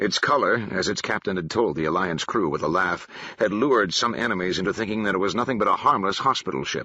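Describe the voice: Someone does plain reading aloud. The intonation is lively.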